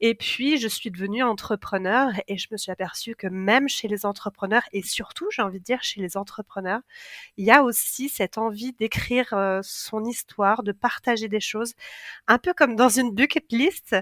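A woman with an unremarkable speaking voice talks at a moderate pace, her fairly high pitch showing ordinary variation, in a dry, close sound with no echo on a very clean recording with a silent background. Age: 40s. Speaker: book writing coach and co-author. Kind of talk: interview conversation.

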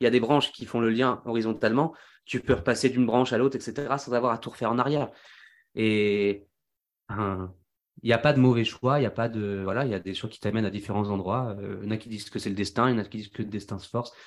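Against a quiet background, a man races along at a very fast pace, his medium-pitched voice showing big swings in loudness. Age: 20s. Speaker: singer and engineer. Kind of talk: casual chat. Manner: animated.

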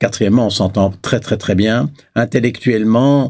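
A man's fairly low, dark, mellow voice with ordinary pitch variation, at a moderate pace, in a very clean recording with a silent background. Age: 70s. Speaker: business philosopher. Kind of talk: interview. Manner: halting.

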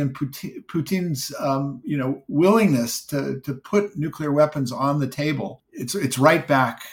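A man speaks with an American accent and ordinary pitch variation. His voice is somewhat breathy, on a very clean recording with a silent background. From California. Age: 70s. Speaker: tech journalist and historian. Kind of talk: interview. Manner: halting, many repetitions.

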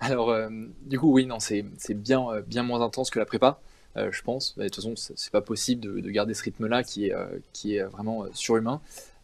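A man's medium-pitched voice, fairly even in intonation, at a moderate pace. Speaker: engineering student. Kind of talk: interview. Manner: hesitant, many fillers.

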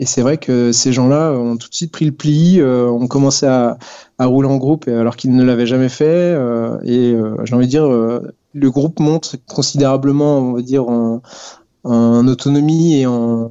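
A fairly slow pace with fairly even intonation. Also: man, medium pitch for a man. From western France (Poitiers). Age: 30s. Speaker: urban group ride organizer, IT worker, amateur cyclist. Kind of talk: casual interview. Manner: hesitant, many fillers.

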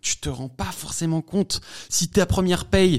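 A male voice, very clean recording, silent background. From France, Savoie. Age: 20s. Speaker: comedy content creator. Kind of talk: interview. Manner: fast, hesitant with fillers.

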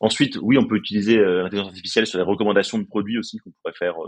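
A man talks very fast, recorded with a dry, close sound and no echo. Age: 30s. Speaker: startup co-founder. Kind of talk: interview. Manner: halting, many repetitions.

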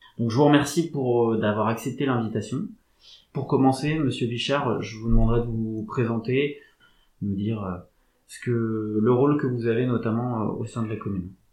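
At a moderate pace, a normal speaking voice carries fairly even intonation. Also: man, medium pitch for a man. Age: 30s. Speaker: podcast host. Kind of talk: interview.

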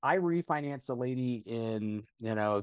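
Recorded dry and close with no echo against a quiet background, a man speaks. His pitch is medium, with ordinary variation. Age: 40s. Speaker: financial company executive. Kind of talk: casual interview. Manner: animated.

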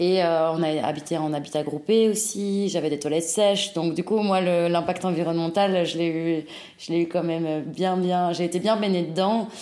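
Speaking at a moderate pace, a woman has a fairly low pitch. Audible room echo and noticeable background noise surround her voice. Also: fairly even intonation. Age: 20s. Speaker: fashion brand co-founder. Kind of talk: interview.

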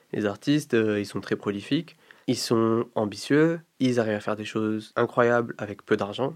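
A man talks at a fairly low pitch with ordinary pitch variation. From Morocco. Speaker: music collective founder and artist manager. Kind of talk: interview. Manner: hesitant, many fillers.

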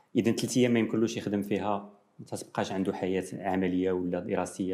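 A man with a Moroccan accent, fairly low in pitch, dark and mellow in tone, at a fairly quick pace. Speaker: nephrology professor. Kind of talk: TV interview.

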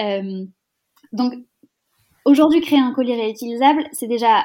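Speaking at a moderate pace, a woman has a high pitch. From rural France. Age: 20s. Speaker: startup founder. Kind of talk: interview. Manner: energetic.

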